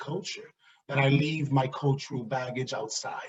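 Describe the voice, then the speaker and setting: Somewhat breathy, a man with an American accent speaks at a fairly slow pace and a fairly high pitch. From US Northeast, New York City (South Bronx). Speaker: diversity and inclusion director. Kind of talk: talk on microaggressions. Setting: virtual event. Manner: animated.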